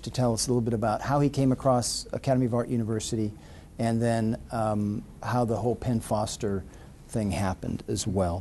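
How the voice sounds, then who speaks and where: This man's tone is dark and mellow. He talks at a moderate pace. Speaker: university admissions executive, ceremony host. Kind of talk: ceremony speech. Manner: talkative.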